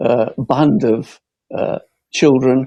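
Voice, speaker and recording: A man speaks at a very slow pace with a northern English accent, his tone dark and mellow and his pitch variation ordinary. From Bolton, Lancashire, northern England. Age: 70s. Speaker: local election candidate. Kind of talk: campaign closing speech.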